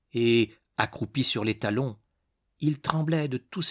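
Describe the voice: The background is quiet. Pitch varies in an ordinary way during this plain reading aloud.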